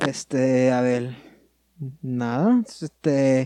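The sound is dry and close with no echo as a man speaks at a medium pitch with a dark, mellow tone. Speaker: podcast co-host. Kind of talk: casual chat.

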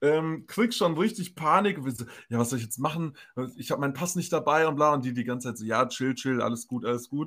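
On a very clean recording with a silent background, the speaker moves at a fairly quick pace with lively intonation. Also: man, fairly high pitch for a man. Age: 20s. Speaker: podcast co-host. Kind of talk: casual chat.

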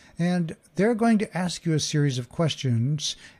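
Here a man speaks with an American accent. His pitch is fairly high and his pace moderate. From Oklahoma. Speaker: podcast host and communication coach. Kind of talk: solo podcast talk. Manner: halting.

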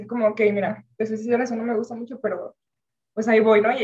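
A woman at a very fast pace with fairly high pitch. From Venezuela. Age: 20s. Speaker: university student. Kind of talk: casual chat.

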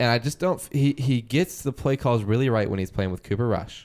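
A man speaks in an unremarkable speaking voice with an American accent at a fairly quick pace. His pitch varies in an ordinary way, and the recording is very clean with a silent background. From Wisconsin, US Midwest. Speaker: podcast co-host. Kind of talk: casual sports chat.

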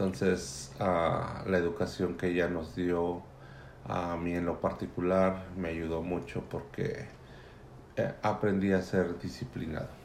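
Very slow and fairly even in intonation, a man speaks with a very deep, low voice. His voice carries an audible room echo. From Mexico City area. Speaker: immigrant father interviewed by daughter. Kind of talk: family interview.

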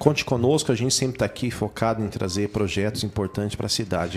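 Noticeable background noise sits under a man speaking at a very fast pace, with fairly low pitch and ordinary pitch variation. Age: 40s. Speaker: city councillor. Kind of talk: radio interview. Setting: radio studio.

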